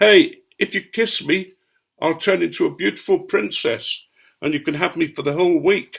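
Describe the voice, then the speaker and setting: A man uses a put-on character voice that is high-pitched and shrill. He speaks at a moderate pace. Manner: screaming, shrill.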